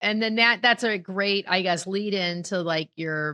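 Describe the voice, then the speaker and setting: A woman's bright, sharp voice with an American accent, in a dry, close sound with no echo and a quiet background. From Ohio. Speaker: podcast host, financial advisor. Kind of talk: podcast interview. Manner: loud.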